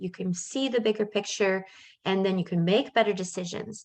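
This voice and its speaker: With fairly even intonation and a fairly quick pace, a woman talks in an unremarkable speaking voice. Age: 50s. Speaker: life coach. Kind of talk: webinar presentation. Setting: video call with shared screen.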